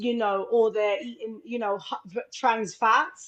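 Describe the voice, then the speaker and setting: The woman's pitch is fairly high with ordinary variation. She speaks at a very slow pace. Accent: London. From London (Islington), England. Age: 40s. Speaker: film director and wellness entrepreneur. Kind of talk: live radio interview. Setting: live radio show.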